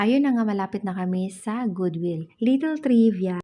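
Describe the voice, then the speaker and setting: A woman's voice comes across as dark, mellow, and somewhat breathy. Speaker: vlogger. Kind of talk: vlog voice-over.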